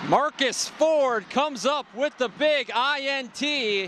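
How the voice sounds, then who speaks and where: A man raises and projects his voice at an extremely high pitch. Noticeable background noise runs underneath. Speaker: sports play-by-play broadcaster. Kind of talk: excited live football highlight calls.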